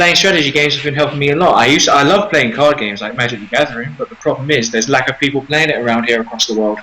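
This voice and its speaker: Against noticeable background noise, a man with a fairly high pitch and ordinary pitch variation talks very fast with hardly any pauses. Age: 20s. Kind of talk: casual chat. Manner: halting.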